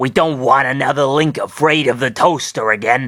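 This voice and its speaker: A man's put-on character voice, raspy and medium in pitch, at a moderate pace. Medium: read story.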